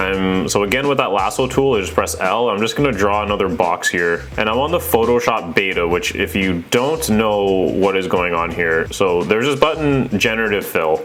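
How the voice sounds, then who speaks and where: Music plays behind a man who speaks at a fairly low pitch and moderate pace, with lively intonation and hardly any pauses. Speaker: real estate photographer, vlogger. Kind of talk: tutorial. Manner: casual, halting.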